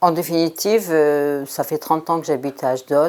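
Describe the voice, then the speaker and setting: A woman speaks at a fairly slow pace in a very deep, low voice. Her tone is dark and mellow, with fairly even intonation. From France. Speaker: doctor. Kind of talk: interview testimony. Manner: hesitant, many fillers.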